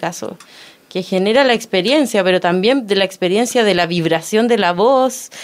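At a moderate pace, a woman talks in an ordinary speaking voice at medium pitch with ordinary pitch variation. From Chile, Los Ángeles (Biobío). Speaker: stage designer and performance artist. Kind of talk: radio interview.

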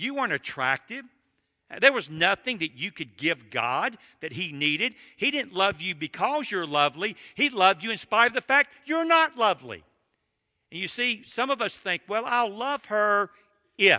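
At a moderate pace, a raised, projected voice with a bright, sharp tone and very wide pitch swings comes through a dry, close sound with no echo on a very clean recording with a silent background. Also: man, high pitch for a man. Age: 60s. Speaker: seminary president and preacher. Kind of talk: sermon.

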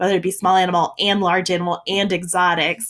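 A woman with a plain, everyday voice, an American accent, medium pitch and a fairly quick pace. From South Louisiana, US. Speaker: veterinarian and vet school admissions director. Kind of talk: interview.

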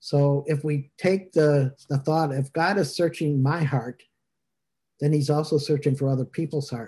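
A man speaks at a moderate pace in a dark, mellow tone, somewhat breathy at a fairly high pitch. His intonation is fairly even, with a quiet background. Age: 60s. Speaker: minister leading online service. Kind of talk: casual chat. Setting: video call.

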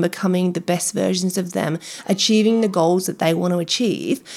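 A woman speaks at a medium pitch. Her pace is fairly quick, with ordinary pitch variation. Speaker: nutrition podcast host. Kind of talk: casual interview chat. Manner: fast talker.

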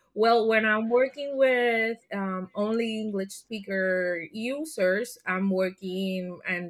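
A woman with a Spanish accent speaks at a very slow pace with ordinary pitch variation. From Puerto Rico. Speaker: learning and development leader. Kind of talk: interview.

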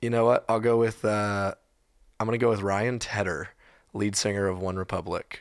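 On a very clean recording with a silent background, a man with an American accent speaks at a moderate pace in a plain, everyday voice, fairly low in pitch and fairly even in intonation. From Texas. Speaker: musician. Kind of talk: casual chat.

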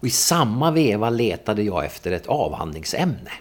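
There is noticeable background noise as this man keeps a moderate pace. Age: 60s. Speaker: political scientist and newspaper editor. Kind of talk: interview.

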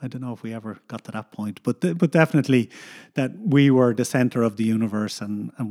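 On a very clean recording with a silent background and a dry, close sound with no echo, a man with a Dublin accent talks at a very fast pace in a dark, mellow tone. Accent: Dublin Irish. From Ireland, Dublin. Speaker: coastal geomorphologist, university researcher. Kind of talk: casual interview.

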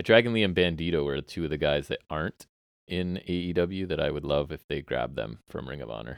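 Very deep and low, a man's voice carries vocal fry and lively intonation at a fairly quick pace. The sound is dry and close, with no echo. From Southern Ontario, Canada. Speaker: podcast host. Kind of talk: casual chat about wrestling. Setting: basement, recorded at home.

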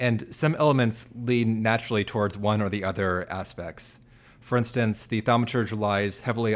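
This man has an unremarkable speaking voice, pitched fairly low, with fairly even intonation. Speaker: co-host and researcher. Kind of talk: casual chat.

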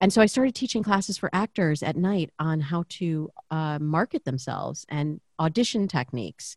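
At a moderate pace with hardly any pauses, a woman with an unremarkable speaking voice and fairly low pitch uses lively intonation, recorded dry and close with no echo. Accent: American. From US Midwest, Michigan (Lansing suburb). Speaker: dating coach and podcaster. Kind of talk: interview conversation.

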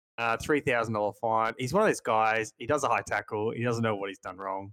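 This man, with an Australian accent, talks at a fairly quick pace with fairly even intonation and big swings in loudness, the sound dry and close with no echo. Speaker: stats analyst co-host. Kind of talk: casual podcast chat about fantasy league.

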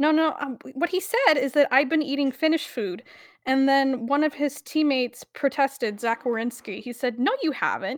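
High-pitched woman's voice with ordinary pitch variation, very clean recording and a silent background. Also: moderate pace, dry, close sound with no echo. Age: 20s. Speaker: podcast co-host. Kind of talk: casual chat.

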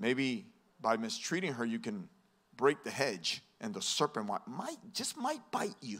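Over noticeable background noise, a man talks in a fairly high pitch with very wide pitch swings. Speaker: pastor. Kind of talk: sermon. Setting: church. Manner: fast talker.

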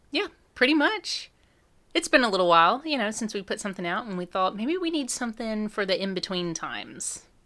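Against a silent background in a very clean recording, a woman with a Southern US accent speaks fairly quickly, her fairly high voice bright and sharp with very wide pitch swings. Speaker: podcast co-host. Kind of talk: casual chat. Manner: playful, hams it up.

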